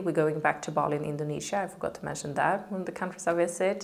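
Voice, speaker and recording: A woman with a Swedish accent speaks at a fairly low pitch with ordinary pitch variation. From Sweden. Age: 30s. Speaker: model and content creator. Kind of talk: casual Q&A vlog. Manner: casual, with many fillers.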